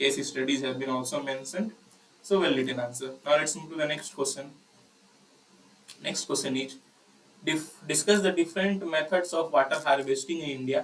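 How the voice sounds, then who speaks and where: Against noticeable background noise, a man with a fairly high pitch and ordinary pitch variation speaks with long, frequent pauses. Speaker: agriculture exam tutor. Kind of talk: tutorial. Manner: fast.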